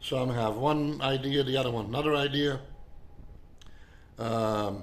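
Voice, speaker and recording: Fairly even intonation from a man at medium pitch, a fairly slow pace, and audible room echo. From Belgium (Flemish). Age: 70s. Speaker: artist and naturalist. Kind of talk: personal video monologue. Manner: halting, many fillers and repetitions.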